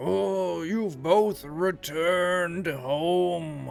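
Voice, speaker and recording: A put-on character voice sits at a middle pitch. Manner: friendly, welcoming.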